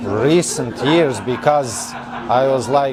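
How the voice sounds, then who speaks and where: Crowd noise sits in the background as a man talks with audible room echo. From Serbia, central (Trstenik). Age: 20s. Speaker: mechanical engineer. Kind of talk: interview. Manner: halting.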